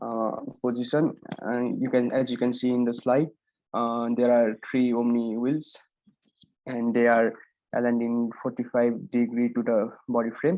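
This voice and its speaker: This man's voice sits at medium pitch. He keeps a monotone, flat intonation at a moderate pace. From Nepal. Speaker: student presenting robot design. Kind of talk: project presentation. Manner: halting.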